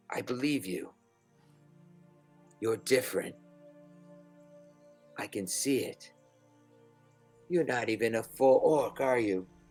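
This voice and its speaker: Using a put-on character voice at a medium pitch, a man speaks at a fairly slow pace with long, frequent pauses while faint music plays in the background. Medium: actual play.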